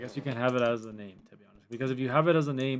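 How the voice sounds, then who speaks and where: A man mumbling at a very fast pace, his pitch medium. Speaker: Roblox streamer. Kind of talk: live gaming stream commentary. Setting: live stream. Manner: quiet at times.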